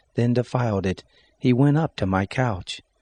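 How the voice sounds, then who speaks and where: With an American accent, a man speaks at a moderate pace in a dark, mellow tone with ordinary pitch variation. The sound is dry and close with no echo, over a quiet background. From United States. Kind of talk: Bible reading.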